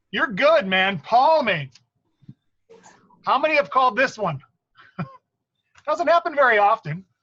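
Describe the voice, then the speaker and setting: A man projects a raised voice at an extremely high pitch, with a bright, sharp tone and very wide pitch swings. He goes at a fairly slow pace, with long, frequent pauses. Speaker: basketball referee trainer. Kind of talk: training meeting. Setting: online meeting.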